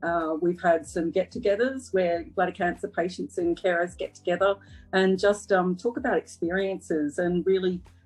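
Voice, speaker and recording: With music in the background, a woman in an Australian accent speaks with ordinary pitch variation. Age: 40s. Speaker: cancer survivor. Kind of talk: interview. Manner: hesitant, many fillers.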